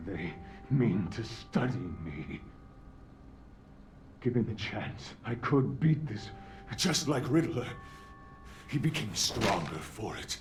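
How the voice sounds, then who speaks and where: A put-on character voice from a man, medium pitch, very wide pitch swings, fairly slow pace with long, frequent pauses, and clear background noise. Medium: video game. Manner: measured, cold.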